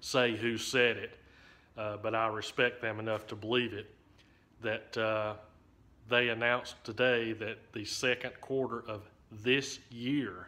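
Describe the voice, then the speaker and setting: Delivering his words fairly slowly in a flat monotone, a man with a bright, sharp tone leaves long, frequent pauses. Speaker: railfan vlogger. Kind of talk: casual vlog chat. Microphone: phone near.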